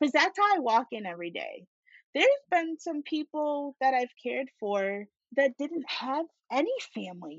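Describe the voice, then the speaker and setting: A woman speaks at a high pitch and a moderate pace with an American accent. Her pitch swings very widely, and her loudness swings a lot too. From US Northeast (Syracuse, upstate New York). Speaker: certified nursing assistant. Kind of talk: casual chat.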